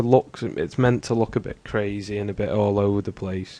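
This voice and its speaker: This man's voice is fairly low, with a dark, mellow tone and ordinary pitch variation. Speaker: video editing tutorial maker. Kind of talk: tutorial. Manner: slow.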